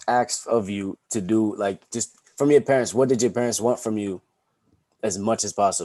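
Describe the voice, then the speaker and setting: A man with an American accent speaks at a moderate pace in a fairly low pitch, his dark, mellow tone carrying ordinary pitch variation in a dry, close sound with no echo. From Boston, US, Montserratian family. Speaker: podcast host. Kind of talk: casual chat.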